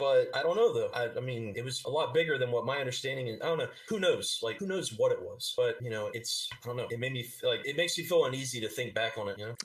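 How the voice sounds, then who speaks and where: In an American accent, a man talks very fast with hardly any pauses. There is noticeable background noise. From Georgia, USA. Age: 30s. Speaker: army veteran. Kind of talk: interview answer. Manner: hesitant.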